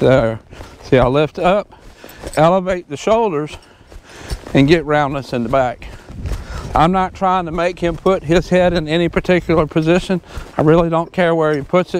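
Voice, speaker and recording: A man's high-pitched voice over light background noise, moderate in pace, with ordinary pitch variation and long, frequent pauses. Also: dry sound with no echo. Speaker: horse trainer. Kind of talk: tutorial. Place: open country. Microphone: lapel.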